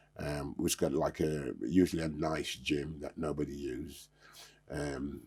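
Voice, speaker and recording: Speaking at a fairly slow pace, a man uses a very deep, low voice with vocal fry and flat, monotone intonation. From England, born in Jamaica, moved in childhood. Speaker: karate master, former music tour worker. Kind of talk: casual chat.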